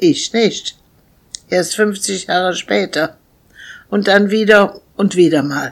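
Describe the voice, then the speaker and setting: A woman's medium-pitched voice with vocal fry and ordinary pitch variation, very slow, broken by long, frequent pauses. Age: old. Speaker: podcaster. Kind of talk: reading aloud.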